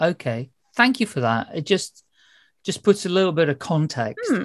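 The speaker has a British accent, heard against a quiet background. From UK. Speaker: podcast host. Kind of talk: casual interview. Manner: chatty, rambling. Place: home room.

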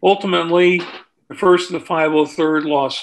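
A man with an American accent, monotone and flat in intonation, at a moderate pace over a quiet background. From California. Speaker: war veteran; author. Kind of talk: talk to an audience. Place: home room. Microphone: webcam.

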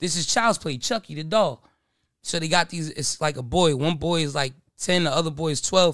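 With an American accent, a man talks at a moderate pace and ordinary pitch variation, against a quiet background with a dry sound and no echo. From New Jersey. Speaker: podcast guest. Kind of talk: casual chat. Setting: studio. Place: studio. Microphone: studio mic.

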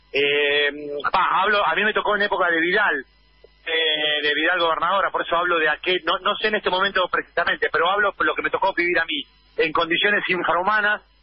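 Over background music, a man with a high pitch speaks with fairly even intonation. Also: fairly quick pace. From Argentina, La Plata. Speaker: activist, former political prisoner. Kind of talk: phone interview. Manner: halting.

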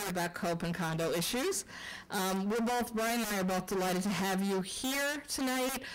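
Moderate-paced speech from a woman. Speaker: elected official hosting a public forum. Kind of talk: public address opening remarks. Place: meeting room. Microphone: podium.

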